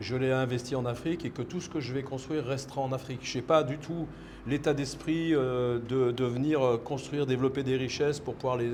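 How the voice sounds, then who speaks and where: Amid audible room echo, a man at medium pitch talks at a moderate pace in a monotone, flat intonation. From France. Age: 60s. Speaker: entrepreneur. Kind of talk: interview. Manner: halting, many repetitions.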